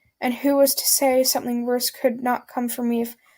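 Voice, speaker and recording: Speech with a dark, mellow tone comes at a moderate pace, its intonation monotone and flat. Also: woman. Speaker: creepypasta narrator. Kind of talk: reading aloud. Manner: stuttering; halting.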